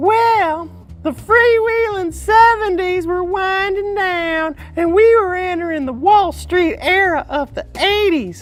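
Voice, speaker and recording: A man's cartoonish character voice at an extremely high pitch for a man, very slow yet with hardly any pauses, over clear music in the background. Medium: puppet show. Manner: brash, wisecracking, sleazy, often speaks of himself in the third person.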